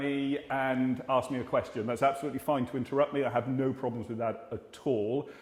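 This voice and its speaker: A fairly high-pitched man with an English accent, at a fairly quick pace. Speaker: GP (family doctor). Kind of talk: Q&A talk to community audience. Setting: hall with live audience, filmed. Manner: fast.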